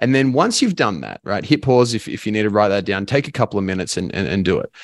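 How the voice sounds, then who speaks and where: Against a quiet background, a man with an Australian accent and a medium pitch talks very fast with lively intonation. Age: 20s. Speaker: life and business coach. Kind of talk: casual chat.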